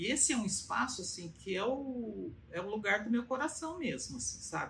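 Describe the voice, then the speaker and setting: A woman with a fairly high pitch and vocal fry speaks at a moderate pace, her pitch swinging very widely. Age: 70s. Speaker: patient giving testimonial. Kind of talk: testimony. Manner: halting, with many fillers.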